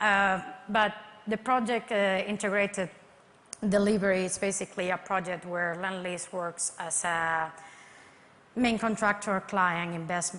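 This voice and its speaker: A woman with a Spanish accent, medium-pitched, bright and sharp in tone, fairly slow and fairly even, with long, frequent pauses. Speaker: construction project manager. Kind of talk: conference presentation.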